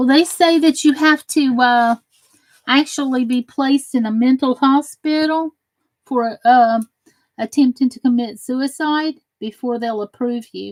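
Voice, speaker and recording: Recorded dry and close with no echo, a woman talks at a moderate pace in a high pitch, with ordinary pitch variation and big swings in loudness. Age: 40s. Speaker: crafting livestreamer. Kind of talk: casual livestream chat. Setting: live stream reading chat.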